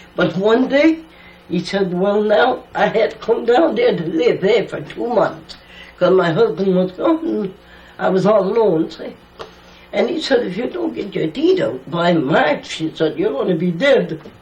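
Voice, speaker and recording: A woman's pitch ranges very widely as she talks at a fairly slow pace, with noticeable background noise around her. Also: medium pitch for a woman. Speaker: elder storyteller. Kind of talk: oral history interview. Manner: halting.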